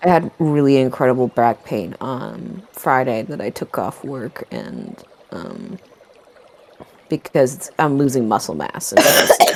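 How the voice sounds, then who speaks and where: Noticeable background noise runs behind speech at a fairly slow pace. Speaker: tabletop game player. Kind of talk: casual chat.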